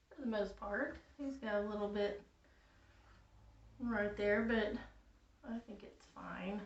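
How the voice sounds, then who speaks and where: Amid noticeable background noise, a woman of medium pitch speaks at a very slow pace with long, frequent pauses, fairly even intonation and big swings in loudness. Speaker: crafts tutorial creator. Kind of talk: craft tutorial. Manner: casual.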